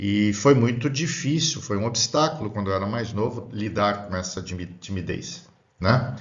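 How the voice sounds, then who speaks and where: Audible room echo surrounds a man whose fairly low voice carries lively intonation at a moderate pace. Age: 60s. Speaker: spiritist lecturer. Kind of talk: lecture. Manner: halting.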